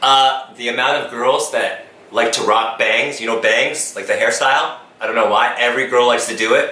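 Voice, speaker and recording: Over noticeable background noise, a man's voice carries audible room echo. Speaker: YouTuber. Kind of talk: Q&A video. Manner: fast; loud.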